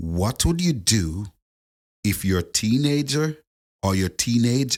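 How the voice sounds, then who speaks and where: On a very clean recording with a silent background, a man with a Jamaican accent speaks at a very slow pace. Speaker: podcast co-host. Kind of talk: casual chat. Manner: animated.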